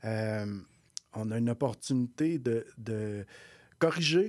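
A man's voice comes through a very clean recording against a silent background. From Quebec North Shore, Innu community. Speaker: executive director of a First Nations economic development organization. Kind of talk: radio interview. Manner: halting, many repetitions.

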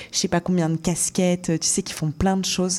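A woman's fairly low voice, dark and mellow in tone, somewhat breathy, at a moderate pace. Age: 20s. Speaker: radio show producer. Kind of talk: casual interview.

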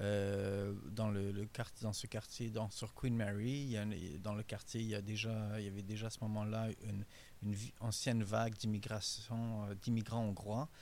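The speaker has a Hungarian accent and talks at a moderate pace in a monotone, flat intonation. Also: man, fairly low pitch for a man. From Hungary, raised in Montreal from age 11. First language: Hungarian (speaking French). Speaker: author. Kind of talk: interview. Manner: halting, many repetitions.

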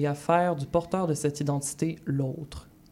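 A woman speaks with a very deep, low pitch and a dark, mellow tone. She keeps a moderate pace and fairly even intonation. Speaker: radio book columnist. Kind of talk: book review chronicle.

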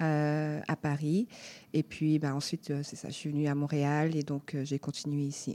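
In a very clean recording with a silent background and a dry, close sound with no echo, a woman speaks at a fairly slow pace in a very deep, low pitch, her dark, mellow tone delivered in a monotone, flat intonation. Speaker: dancer and choreographer. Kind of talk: interview.

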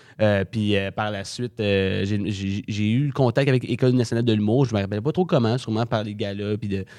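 A man with an ordinary speaking voice, fairly low in pitch, with fairly even intonation, on a very clean recording against a silent background. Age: young. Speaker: comedy school graduate. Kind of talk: casual interview.

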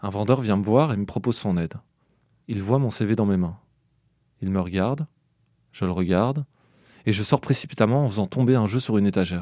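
In a very clean recording with a silent background, a man with a dark, mellow tone and a fairly low pitch speaks at a fairly quick pace, with ordinary pitch variation and long, frequent pauses. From Belgium. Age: 30s. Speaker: podcast narrator. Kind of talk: scripted narration.

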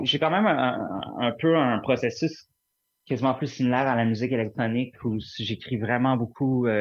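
Here a man talks at a medium pitch with ordinary pitch variation. His loudness stays very even. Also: moderate pace. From Montreal, Quebec. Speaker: singer-songwriter. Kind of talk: interview. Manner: halting, many repetitions.

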